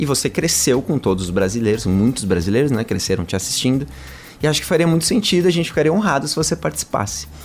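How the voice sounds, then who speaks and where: Music plays in the background as a man speaks at a very fast pace. His medium-pitched voice moves through very wide pitch swings. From São Paulo, Brazil. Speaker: singer-songwriter in a duo. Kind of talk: radio interview. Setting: radio studio.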